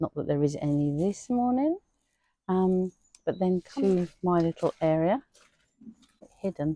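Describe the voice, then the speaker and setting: Recorded dry and close with no echo, a woman at medium pitch speaks at a fairly slow pace in a dark, mellow, relaxed tone, with lively intonation, very even loudness and long, frequent pauses. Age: 60s. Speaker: gardening vlogger. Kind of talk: casual vlog tour. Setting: outdoors in garden. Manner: relaxed, hesitant with many fillers.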